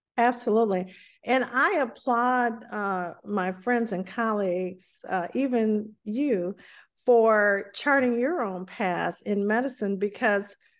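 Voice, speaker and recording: A woman with an American accent and an unremarkable speaking voice, medium-pitched, fairly slow, with ordinary pitch variation. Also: quiet background. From US South. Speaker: physician and author. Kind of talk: interview.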